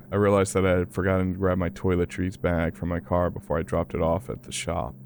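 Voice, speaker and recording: A man speaks with a very deep, low pitch. His voice carries vocal fry. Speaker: horror podcast narrator. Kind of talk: horror story narration.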